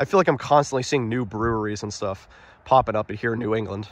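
Talking at a very fast pace with ordinary pitch variation, a man sounds dry, with no echo. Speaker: explorer vlogger. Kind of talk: casual vlog commentary. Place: open country. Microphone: phone near.

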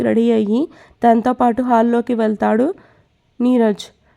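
A woman's dark, mellow tone at a fairly high pitch. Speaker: storyteller narrating serialized stories. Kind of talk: story narration; casual talk to viewers. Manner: tired, low-energy.

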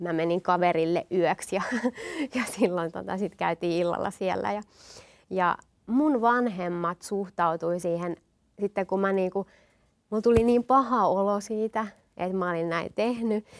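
A woman with a slight Satakunta accent talks at a fairly slow pace, leaving long, frequent pauses. Her pitch varies in an ordinary way over a quiet background. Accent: slight Rauma dialect. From Finland, Satakunta (Rauma/Eura area), partly eastern Finland; Finland. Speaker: guest. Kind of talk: interview, personal testimony. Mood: warm, smiling, personal. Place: studio. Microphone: lapel.

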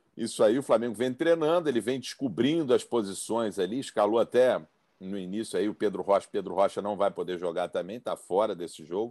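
A man talks at a fairly quick pace with lively intonation. His voice has a dark, mellow tone. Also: quiet background. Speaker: panelist. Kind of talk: commentary. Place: home room. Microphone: video call.

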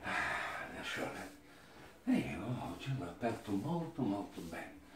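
A man talks with audible room echo and a little background noise. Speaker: masseur. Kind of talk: casual talk to client during massage. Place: home room. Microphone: camera far.

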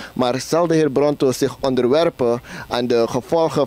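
A man talks at a moderate pace with fairly even intonation, his sound dry and free of echo. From Suriname. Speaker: interviewer. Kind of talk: interview. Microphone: handheld.

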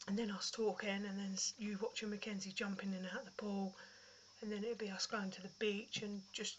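A woman speaks with a British accent at a medium pitch, her intonation monotone and flat. Noticeable background noise sits behind her voice. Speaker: vlogger. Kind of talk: casual chat. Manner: casual, chatty.

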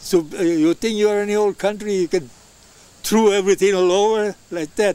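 A man speaks high in pitch at a fairly quick pace. His pitch varies in an ordinary way. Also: dry sound with no echo. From Italy. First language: Italian. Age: 80s+. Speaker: elderly immigrant interviewed by his grandson. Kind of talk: interview answer. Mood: warm, reminiscing. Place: garden.

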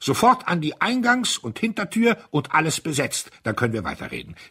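A man performs a put-on character voice at a fairly high pitch with very wide pitch swings. His tone is bright and sharp with a slightly husky edge. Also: fairly quick pace.

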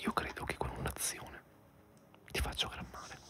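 Whispering, a man keeps a moderate pace. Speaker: ASMR gamer. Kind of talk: relaxing whispered let's play commentary. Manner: whispered, soft-spoken.

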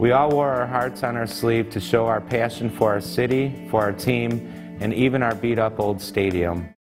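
Clear music plays in the background. A man talks with an Inland North accent and ordinary pitch variation. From Cleveland. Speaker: sports fan reading. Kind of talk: reading aloud, narrative. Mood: nostalgic, proud. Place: studio.

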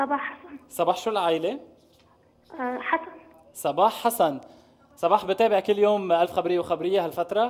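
A high-pitched man, animated in tone with lively intonation, at a moderate pace broken by long, frequent pauses. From Lebanon. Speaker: TV show host. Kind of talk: live TV game show chat. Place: studio. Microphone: headset.

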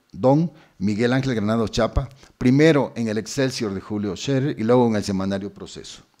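The recording is very clean, with a silent background. A man with a medium pitch and a dark, mellow tone speaks at a moderate pace with ordinary pitch variation. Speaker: university administrator. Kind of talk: formal speech.

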